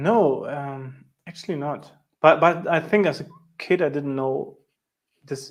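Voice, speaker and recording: A man with a German accent, a fairly high pitch and ordinary pitch variation, plus long, frequent pauses. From East Germany. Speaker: sales engineer and show host. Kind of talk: casual interview chat. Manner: halting.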